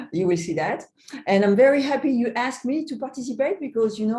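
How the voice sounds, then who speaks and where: With a French accent, a woman speaks at a fairly quick pace with lively intonation. Her tone is dark and mellow, and somewhat breathy. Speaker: magician. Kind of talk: interview.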